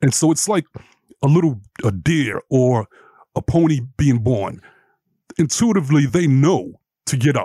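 Speaking at a moderate pace with long, frequent pauses, a man with an American accent has a fairly high pitch and a dark, mellow, somewhat breathy tone, his loudness very even and the sound dry and close with no echo. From New York, Brooklyn. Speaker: life and relationship coach. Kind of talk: interview.

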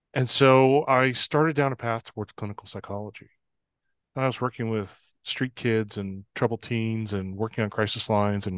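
A man with a normal speaking voice, medium pitch, fairly even intonation and a moderate pace, in a dry, close sound with no echo against a quiet background. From Canada, Fort Saint John, British Columbia. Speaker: trust expert and consultant. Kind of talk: interview.

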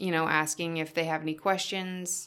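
A woman's fairly low, bright, sharp voice with fairly even intonation, in a very clean recording with a silent background. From Yukon, northern Canada (Whitehorse). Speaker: nutrition coach. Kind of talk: interview.

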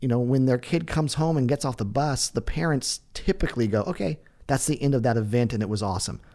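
A man speaks at medium pitch with a dark, mellow tone and lively intonation. His moderate pace comes through on a very clean recording with a silent background. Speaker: podcast host. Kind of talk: casual interview chat.

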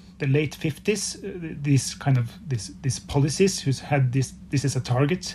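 This man has a fairly high pitch, a dark, mellow tone and a Norwegian accent. He speaks fairly slowly and somewhat breathily, with lively intonation. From Norway. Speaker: filmmaker. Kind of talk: interview. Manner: halting.

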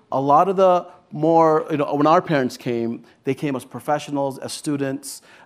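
A man speaks at a moderate pace with a Californian accent. His pitch is fairly high and his intonation fairly even. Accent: Californian American. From Los Angeles, San Fernando Valley. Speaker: government official. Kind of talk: panel discussion. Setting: stage with audience.

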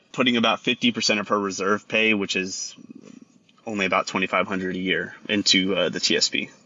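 A man with a Texan accent talks at a moderate pace. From Texas. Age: 30s. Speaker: caller, Air Force veteran. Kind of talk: phone-in advice call. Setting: phone call. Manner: halting.

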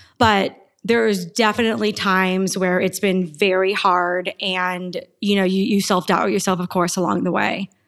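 A woman speaks in a plain, everyday voice at a medium pitch and moderate pace with ordinary pitch variation. The recording is very clean, with a silent background. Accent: American. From Arizona, US Southwest. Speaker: tech startup founder and CEO. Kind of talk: interview.

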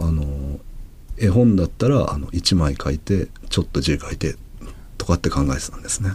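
Noticeable background noise sits behind a man's voice. His pitch is very deep and low, with lively intonation. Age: 40s. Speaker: manga artist. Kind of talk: interview conversation.

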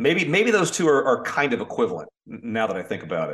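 Very fast talk from a man in an American accent, fairly high in pitch with very wide pitch swings. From Florida, Orlando. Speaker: golf broadcaster. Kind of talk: casual chat.

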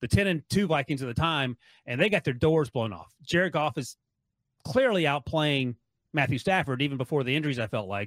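In an ordinary speaking voice with an American accent, a man talks at a fairly quick pace with a fairly high pitch and lively intonation, his sound dry and close with no echo on a very clean recording with a silent background. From North Carolina. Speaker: NFL writer and podcaster. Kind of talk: sports radio interview.

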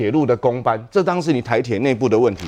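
The background stays quiet. A man speaks fairly quickly. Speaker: city councillor. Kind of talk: political talk show debate.

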